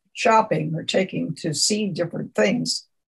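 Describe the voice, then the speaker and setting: With vocal fry and lively intonation, a woman speaks at a medium pitch and a fairly slow pace. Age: 80s+. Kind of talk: oral history interview. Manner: halting.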